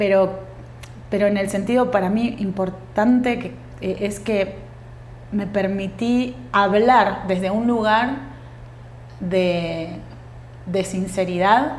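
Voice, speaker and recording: With noticeable background noise and audible room echo, a woman talks very slowly at a medium pitch, using ordinary pitch variation and long, frequent pauses. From Uruguay. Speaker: actress and tango dancer. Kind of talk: podcast interview.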